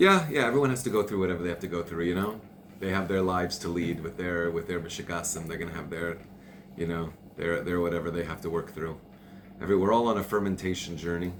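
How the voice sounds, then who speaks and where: A man's very deep, low voice at a very fast pace, with ordinary pitch variation and audible room echo. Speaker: Torah teacher. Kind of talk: religious class. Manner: loud, passionate; repetitive, stammering.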